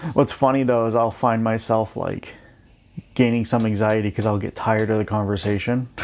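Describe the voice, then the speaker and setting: A man speaks quietly at a medium pitch and a fairly quick pace, his intonation monotone and flat. The recording is very clean, with a silent background. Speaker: podcast host's brother. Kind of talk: casual chat.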